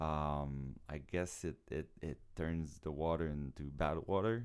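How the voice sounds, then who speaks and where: With ordinary pitch variation, a man speaks at a very deep, low pitch. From Quebec. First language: French. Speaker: circus show producer and acrobat. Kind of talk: podcast interview. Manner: halting, with repetitions.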